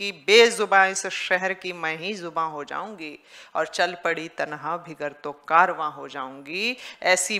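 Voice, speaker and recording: A woman speaks very slowly, her fairly low voice bright and sharp in tone with big swings in loudness. The background is quiet. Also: ordinary pitch variation. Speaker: event host. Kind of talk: stage announcement introducing a performer. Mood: warm, praising, oratorical. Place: stage. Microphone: podium.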